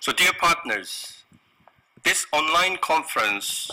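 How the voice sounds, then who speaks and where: Speaking in a Korean accent, a man takes a fairly slow pace. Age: 50s. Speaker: business owner. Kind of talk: corporate presentation. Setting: online conference. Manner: halting.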